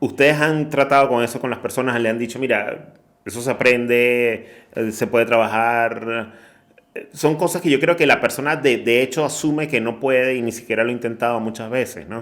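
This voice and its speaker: Here a man speaks in an unremarkable speaking voice at medium pitch. His pace is moderate, with ordinary pitch variation. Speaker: podcast host. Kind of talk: interview question.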